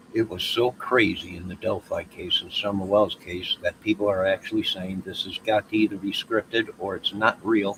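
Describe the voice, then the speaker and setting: A man with an American accent speaks at a moderate pace with hardly any pauses, his dry, close sound carrying no echo over noticeable background noise. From Chicago. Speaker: YouTuber. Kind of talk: casual livestream monologue. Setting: outdoors.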